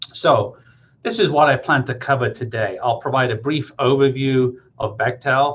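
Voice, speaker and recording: A man with a medium-pitched, somewhat breathy voice. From England, Coventry (West Midlands). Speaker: engineering project manager. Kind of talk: career talk to students.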